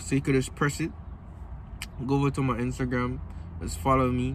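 A man at a moderate pace, dry sound with no echo, and light background noise behind him. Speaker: vlogger. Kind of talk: casual vlog chat. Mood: relaxed, laid-back. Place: car. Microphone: phone near.

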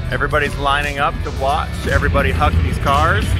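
Loud music plays in the background as a man speaks, the sound dry with no echo. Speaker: vlogger host. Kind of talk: casual vlog chat. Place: open country. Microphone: phone near.

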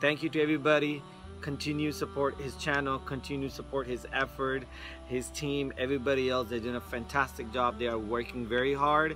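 A man's voice in a dry sound with no echo, with clear music in the background. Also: fairly quick pace. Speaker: guest. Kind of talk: casual vlog chat. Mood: cheerful, joking. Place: garden. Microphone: phone near.

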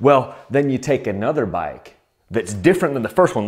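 A man speaks with very wide pitch swings. The background stays quiet. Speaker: dirt bike channel host. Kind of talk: humorous tutorial-style talk to camera. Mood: playful, sarcastic. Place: garage.

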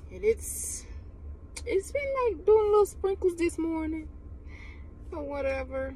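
With music in the background, a woman speaks at a fairly slow pace in a dry sound with no echo. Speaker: vlogger on work break. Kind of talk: casual vlog chat. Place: car. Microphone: phone near.

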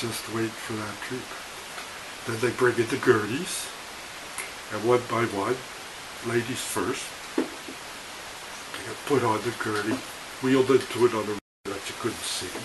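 Through noticeable background noise, a man speaks at a fairly slow pace with fairly even intonation, long, frequent pauses and big swings in loudness. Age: 70s. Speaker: retired vlogger telling life stories; vlogger telling his life story. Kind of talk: personal storytelling. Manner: hesitant, with fillers. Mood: reflective, calm. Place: home room. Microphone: webcam.

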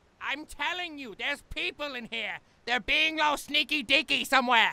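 This is a put-on character voice with a high pitch. Its pace is moderate. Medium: machinima. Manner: chatty, goofy, pleading.

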